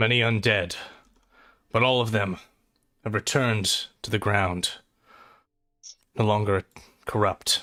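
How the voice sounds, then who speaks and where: A man's put-on character voice at medium pitch, fairly slow with long, frequent pauses, on a very clean recording with a silent background. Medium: actual play. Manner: earnest, formal.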